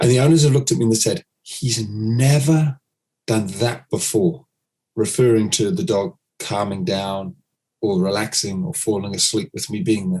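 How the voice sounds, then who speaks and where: Here a man talks at a moderate pace with a medium pitch and lively intonation. His voice is somewhat breathy, with a dark, mellow tone. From United Kingdom. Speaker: dog trainer. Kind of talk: podcast interview.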